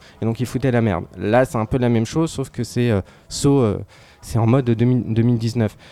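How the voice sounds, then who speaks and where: The recording is very clean, with a silent background. A man with a medium pitch and a dark, mellow tone speaks at a moderate pace with fairly even intonation. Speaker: film critic. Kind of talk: casual chat. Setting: pub.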